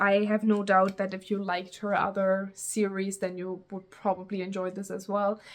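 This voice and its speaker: A woman with a German accent at a moderate pace. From Germany. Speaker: booktuber. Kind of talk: casual vlog talk. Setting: outdoors. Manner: casual, rambling with fillers.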